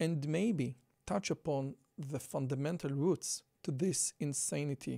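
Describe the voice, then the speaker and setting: A man with a strong Israeli accent speaks at a fairly high pitch in a dark, mellow tone with ordinary pitch variation. The recording is very clean with a silent background, dry and close with no echo. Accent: Israeli, thick. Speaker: podcaster and political commentator. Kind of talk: commentary video reading and discussing article quotes. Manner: casual with fillers.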